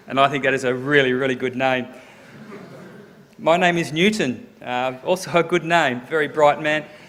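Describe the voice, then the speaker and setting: With noticeable noise behind him, a man speaks at a moderate pace and fairly high pitch, with ordinary pitch variation and long, frequent pauses. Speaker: sports science professor. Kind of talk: lecture. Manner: speeds up when excited.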